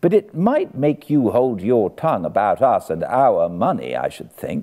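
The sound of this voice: In a put-on character voice with a British accent, a man speaks at a fairly slow pace with a fairly low pitch. His tone is dark and mellow, with big pitch swings.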